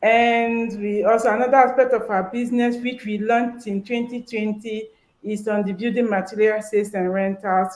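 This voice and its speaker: A woman's fairly high voice in monotone, flat intonation at a moderate pace. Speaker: business leader. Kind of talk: interview.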